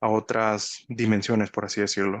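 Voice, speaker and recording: Over a quiet background, a man with a fairly low pitch speaks at a moderate pace in a monotone, flat intonation, the sound dry and close with no echo. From Mexico. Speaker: spiritual teacher. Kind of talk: monologue talk. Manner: halting, many fillers and restarts.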